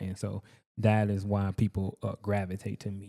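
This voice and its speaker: In a Southern US accent, a man speaks at a fairly low pitch in a dark, mellow tone with monotone, flat intonation, on a very clean recording with a silent background. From US South, rural Georgia. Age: 30s. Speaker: welder and entrepreneur. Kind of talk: casual chat. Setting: studio.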